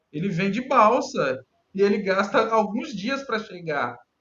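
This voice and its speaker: The man's voice sits high in pitch. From Brazil, Minas Gerais. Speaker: cartographic engineer in municipal government. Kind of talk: casual interview.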